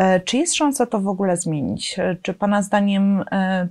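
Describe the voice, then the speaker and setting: A woman speaks against a quiet background. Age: middle-aged. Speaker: journalist; interviewer, journalist. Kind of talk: interview. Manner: hesitant, many filler sounds. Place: studio. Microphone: lapel.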